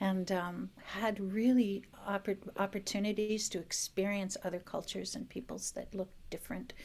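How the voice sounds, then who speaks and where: An ordinary speaking voice, a woman with an American accent talks at medium pitch and a moderate pace with fairly even intonation and hardly any pauses, on a very clean recording with a silent background. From US Midwest, northern Wisconsin. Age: 60s. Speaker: restorative justice practitioner and teaching artist. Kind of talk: podcast interview.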